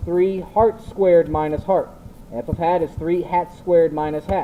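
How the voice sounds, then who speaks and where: The speech moves at a moderate pace. Noticeable background noise runs underneath it. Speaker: math teacher. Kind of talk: classroom lecture. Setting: large classroom without microphone. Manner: loud.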